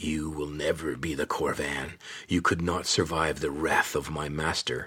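In a raspy, growling, put-on character voice, a man speaks at a moderate pace with a very deep, low pitch. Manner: snarling, threatening.

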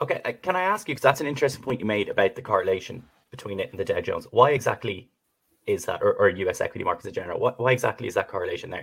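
Someone speaks very fast with an Irish accent. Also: man. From Ireland. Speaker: podcast host. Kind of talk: podcast interview.

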